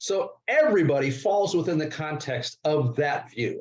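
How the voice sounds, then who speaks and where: A man's voice sits fairly high in pitch. It is somewhat breathy. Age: 60s. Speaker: investment and securities expert. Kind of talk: interview.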